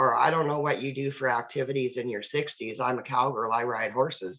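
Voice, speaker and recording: With ordinary pitch variation and a very deep, low pitch, a woman speaks at a moderate pace. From Canada. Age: 60s. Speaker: network marketing distributor. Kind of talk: live Q&A advice on a video call. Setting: video call. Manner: animated.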